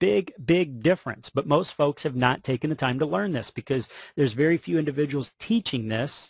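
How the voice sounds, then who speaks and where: A man talks at a fairly quick pace and fairly high pitch, with an animated tone and lively intonation. His voice is somewhat breathy, dry and close with no echo, over a quiet background. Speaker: mortgage marketing trainer. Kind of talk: webinar presentation. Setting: online webinar. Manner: fast.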